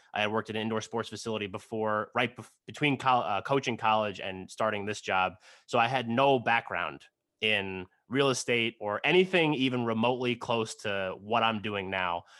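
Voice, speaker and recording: Speaking at a moderate pace, this man has a normal speaking voice. His pitch sits in the medium range and varies in an ordinary way. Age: 30s. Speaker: title insurance sales executive and podcast host. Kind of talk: casual interview chat. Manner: filler-heavy, many 'like' and 'um'.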